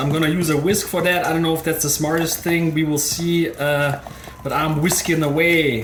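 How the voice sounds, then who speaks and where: A fairly quick delivery with a German accent amid noticeable background noise. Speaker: cooking video creator. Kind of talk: tutorial. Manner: casual, chatty.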